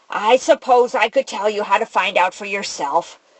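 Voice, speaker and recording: Woman in a croaky, put-on character voice, medium pitch, moderate pace. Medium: read story. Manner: ornery, matter-of-fact.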